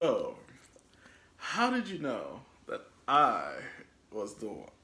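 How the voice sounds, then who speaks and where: Speech comes at a very slow pace with big swings in loudness, with noticeable background noise and audible room echo. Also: man. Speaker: lifestyle vlogger. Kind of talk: casual chat.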